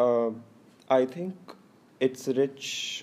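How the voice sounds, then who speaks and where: A man's dark, mellow tone. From northern India, Delhi NCR. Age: 20s. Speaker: interviewee. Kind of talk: casual interview. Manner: hesitant, many fillers.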